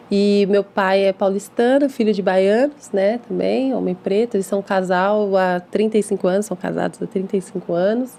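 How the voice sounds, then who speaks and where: A woman with a medium pitch talks at a moderate pace with fairly even intonation, noticeable background noise behind her. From Brazil, São Paulo city (East Zone). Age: 30s. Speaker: English teacher and school founder. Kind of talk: podcast interview.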